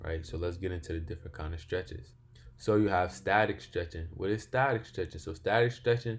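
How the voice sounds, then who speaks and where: His voice very deep and low, a man talks with a somewhat breathy quality. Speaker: fitness instructor. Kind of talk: tutorial. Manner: sluggish, halting.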